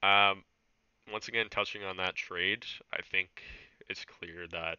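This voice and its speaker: With a very deep, low voice, a man speaks at a fairly slow pace in a flat monotone. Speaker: esports league podcast host. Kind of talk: casual chat.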